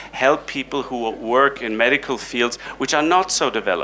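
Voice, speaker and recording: Over light background noise, a man with an ordinary speaking voice talks at a moderate pace, with medium pitch and ordinary pitch variation. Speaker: heart surgeon and professor; professor. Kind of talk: panel discussion. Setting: stage with audience. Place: hall. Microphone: handheld.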